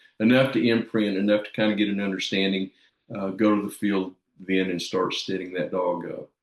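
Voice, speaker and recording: At a fairly quick pace, an ordinary speaking voice moves with fairly even intonation. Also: man, fairly low pitch for a man. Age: 60s. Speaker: dog trainer. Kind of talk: casual chat.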